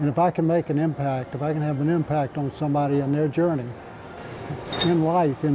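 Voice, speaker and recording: Over music in the background, a man speaks fairly quickly in a fairly high voice with fairly even intonation. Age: 80s+. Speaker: personal trainer. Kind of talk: interview answer. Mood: upbeat, proud. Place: gym. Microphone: lapel.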